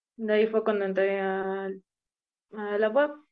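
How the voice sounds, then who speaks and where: Very slowly, a woman speaks at a medium pitch with fairly even intonation. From Mexico, Puebla state. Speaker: flutist. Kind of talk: interview.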